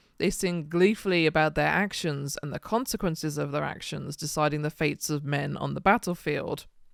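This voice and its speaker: With vocal fry and a very deep, low pitch, a woman talks at a moderate pace with ordinary pitch variation, on a very clean recording with a silent background. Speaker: heathen speaker on Norse mythology. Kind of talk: lecture talk.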